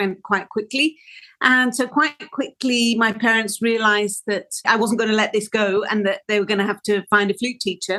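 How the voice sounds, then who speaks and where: In a Welsh accent, a woman speaks with a bright, sharp tone. Her pace is moderate and her pitch variation ordinary. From Wales. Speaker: orchestral flautist. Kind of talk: interview conversation. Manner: hesitant, with self-corrections.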